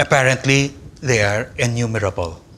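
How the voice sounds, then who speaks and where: The speaker has a Filipino accent and a moderate pace. Pitch varies in an ordinary way over noticeable background noise. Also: man. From Philippines. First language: Tagalog. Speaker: philosophy professor. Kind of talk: lecture. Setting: conference hall with audience. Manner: formal.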